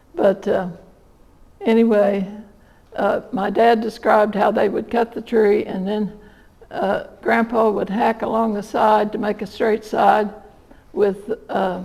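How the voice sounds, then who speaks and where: Over noticeable background noise, the speaker talks at a fairly slow pace with a southern Indiana accent and fairly even intonation. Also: woman, fairly high pitch for a woman. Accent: southern Indiana rural American. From southern Indiana, USA. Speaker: local historian and author; retired nurse. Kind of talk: storytelling talk to an audience.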